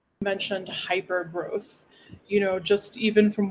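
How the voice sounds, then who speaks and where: A woman with an American accent talks at medium pitch and a moderate pace. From United States. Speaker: panel moderator. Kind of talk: panel discussion moderation. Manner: animated.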